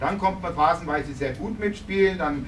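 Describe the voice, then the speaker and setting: Noticeable background noise runs under a man speaking with ordinary pitch variation. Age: 50s. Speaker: visiting ice hockey coach. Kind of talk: post-game press conference. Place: meeting room. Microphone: camera far.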